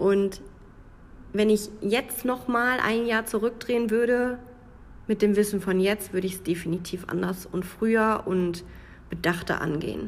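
Speaking with a Münsterland accent, a woman goes at a fairly slow pace with long, frequent pauses and ordinary pitch variation. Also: medium pitch for a woman. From Münsterland, Germany. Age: 20s. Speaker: podcaster. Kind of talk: personal monologue podcast.

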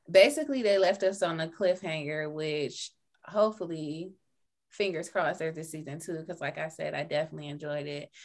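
A woman with an unremarkable speaking voice talks at a fairly low pitch and a fairly quick pace, with ordinary pitch variation and big swings in loudness. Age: 30s. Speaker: podcast co-host. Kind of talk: casual chat.

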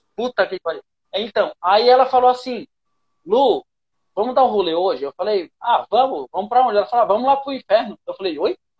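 With lively intonation, a man talks at a fairly quick pace in an extremely high pitch. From Pernambuco, Brazil. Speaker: comedian. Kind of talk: casual chat. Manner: animated.

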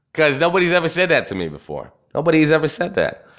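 Animated and bright with a sharp edge, a man speaks at a fairly high pitch with vocal fry and ordinary pitch variation. The recording is very clean, with a silent background. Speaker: podcast host. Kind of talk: casual live-stream talk. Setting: live stream. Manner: profane and animated.

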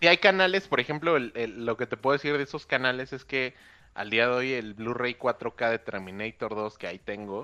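Against a quiet background, a man with a medium pitch speaks at a moderate pace in a bright, sharp tone with lively intonation and a dry, close sound with no echo. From Mexico City area. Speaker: podcast guest. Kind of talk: casual chat.

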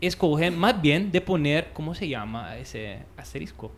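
This man's voice sits at a fairly high pitch, and he talks at a fairly slow pace. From Italy. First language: Italian (speaking Spanish). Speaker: rehab center worker. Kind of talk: interview. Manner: halting.

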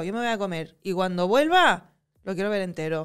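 At a moderate pace and medium pitch, a woman speaks with ordinary pitch variation in a very clean recording with a silent background. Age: 30s. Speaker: actress. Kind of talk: casual interview chat.

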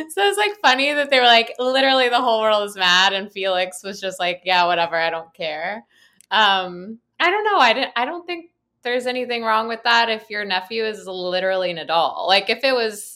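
Bright and sharp in tone, a woman speaks at a moderate pace and medium pitch, animated in tone with lively intonation. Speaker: guest co-host, fashion correspondent. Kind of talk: casual chat. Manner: animated, laughs often.

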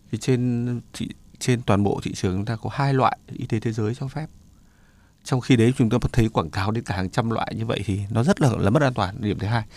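An ordinary speaking voice from a man, medium in pitch with ordinary pitch variation. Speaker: doctor. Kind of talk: radio health advice talk.

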